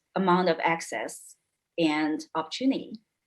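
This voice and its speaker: A woman with a non-native accent, fairly low in pitch, at a fairly slow pace. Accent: foreign. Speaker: panelist. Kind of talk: panel debate.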